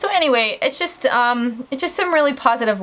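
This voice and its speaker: Her pitch rises and falls very widely. The woman keeps a moderate pace. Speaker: beauty vlogger. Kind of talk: casual vlog chat. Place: home room. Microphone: camera far.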